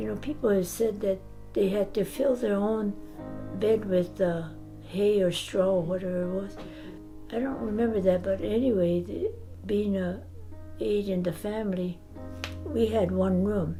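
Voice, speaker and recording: A speaker with an American accent talks at a moderate pace, leaving long, frequent pauses. Music plays in the background. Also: woman. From Malibu, California. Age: 80s+. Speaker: former internment camp detainee. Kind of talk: interview answer.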